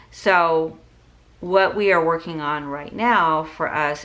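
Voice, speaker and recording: Someone talks at a very slow pace, with room echo clearly audible. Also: woman. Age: 60s. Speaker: budgeting vlogger. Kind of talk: casual tutorial vlog. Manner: conversational with frequent fillers.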